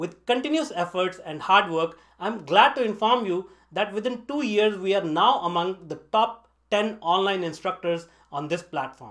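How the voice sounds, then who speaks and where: This man has a high pitch and lively intonation. He talks at a moderate pace. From northern India. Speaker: online tech instructor. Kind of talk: scripted narration. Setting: basement home studio.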